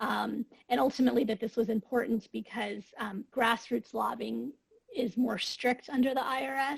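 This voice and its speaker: Close and dry with no echo, a woman's fairly high voice carries vocal fry and ordinary pitch variation. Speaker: webinar participant reporting from breakout group. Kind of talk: group report-out in webinar. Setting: video call.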